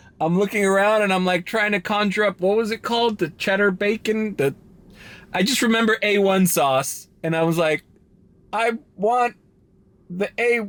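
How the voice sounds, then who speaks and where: At a moderate pace, a high-pitched man speaks with ordinary pitch variation and very even loudness, pausing long and often. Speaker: vlogger. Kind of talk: casual vlog monologue. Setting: in a car at a drive-thru parking lot. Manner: halting, many restarts.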